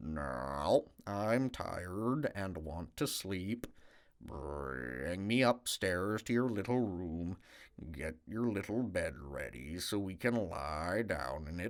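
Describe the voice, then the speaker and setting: A man's put-on character voice, very deep and low in pitch, at a very slow pace. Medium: read story.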